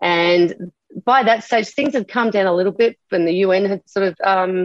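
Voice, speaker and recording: A woman with an Australian accent is heard with a dry, close sound with no echo. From Australia, Adelaide. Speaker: army veteran. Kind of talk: interview. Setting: recorded interview.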